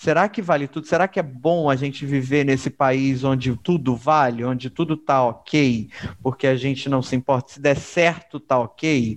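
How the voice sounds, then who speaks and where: A man talking at a fairly slow pace. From Rio de Janeiro, Baixada Fluminense (Caxias). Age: 30s. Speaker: podcast co-host. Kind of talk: casual chat. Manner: animated.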